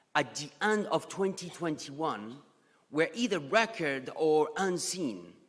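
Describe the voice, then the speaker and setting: A man's high-pitched voice in a strong French accent, with very wide pitch swings and a fairly slow pace. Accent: thick French. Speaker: economist and geopolitical strategist. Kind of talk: conference presentation. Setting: conference stage with audience.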